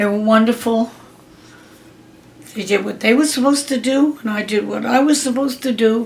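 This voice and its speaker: A woman with an American accent, fairly high in pitch, at a fairly quick pace with long, frequent pauses, fairly even intonation, and noticeable background noise. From Pennsylvania. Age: 80s+. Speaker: grandmother interviewee. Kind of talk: family interview.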